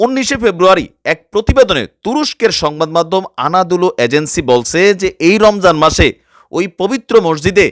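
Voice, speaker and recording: Heard in a dry, close sound with no echo, a man with a high pitch speaks with lively intonation. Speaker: news commentary YouTuber. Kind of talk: news commentary in regional dialect.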